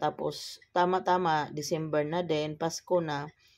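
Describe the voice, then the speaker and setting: A woman speaks at a very deep, low pitch with monotone, flat intonation and a fairly slow pace. The recording is very clean, with a silent background. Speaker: vlogger. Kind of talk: voice-over narration. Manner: casual, conversational.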